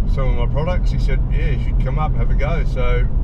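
A man talks at a fairly quick pace against loud background noise. The sound is dry, with no echo. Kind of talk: casual vlog chat. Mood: relaxed, looking forward. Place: car. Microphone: camera far.

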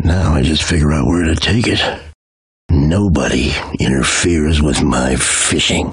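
A man uses a put-on character voice that is raspy and very deep. He speaks at a moderate pace with very even loudness. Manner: gruff, wisecracking, determined.

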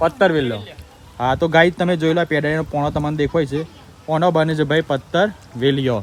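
This man's voice is a plain, everyday voice. It sits fairly high and shows ordinary pitch variation. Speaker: vlogger. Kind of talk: casual vlog narration.

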